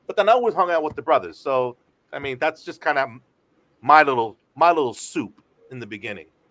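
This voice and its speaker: Very wide pitch swings mark the fairly quick delivery, broken by long, frequent pauses. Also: man, fairly high pitch for a man, big swings in loudness. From San Francisco Bay Area, US. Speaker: radio DJ. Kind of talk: casual chat.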